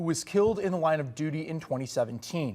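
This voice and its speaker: In a normal speaking voice, a man with a fairly high pitch speaks at a fairly quick pace with lively intonation. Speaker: news anchor. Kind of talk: local TV news anchor delivery.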